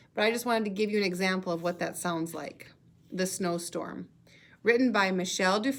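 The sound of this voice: The reading voice stays unforced while the pitch moves in an ordinary way.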